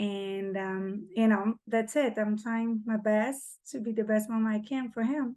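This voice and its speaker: With a Portuguese accent, a woman speaks at a fairly slow pace and fairly high pitch in a dark, mellow tone, keeping a fairly even intonation with hardly any pauses against a quiet background. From Brazil. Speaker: single mother. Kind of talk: casual chat.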